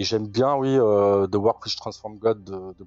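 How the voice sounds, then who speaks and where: With an unremarkable speaking voice, a man talks at a fairly low pitch with fairly even intonation. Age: 40s. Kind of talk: interview.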